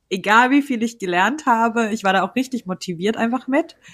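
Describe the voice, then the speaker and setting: On a very clean recording with a silent background, a woman with a normal speaking voice talks with ordinary pitch variation. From Germany. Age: 20s. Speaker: freelance journalist. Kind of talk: interview.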